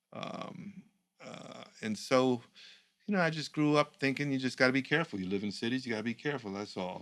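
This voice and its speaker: A normal speaking voice carries lively intonation. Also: man, medium pitch for a man. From New York. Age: 60s. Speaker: communications professional, former political speechwriter. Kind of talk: casual conversation.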